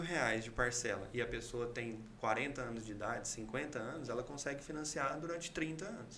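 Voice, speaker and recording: A man at a fairly slow pace with ordinary pitch variation, amid noticeable background noise and audible room echo. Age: 30s. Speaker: civil engineer and builder. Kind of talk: interview.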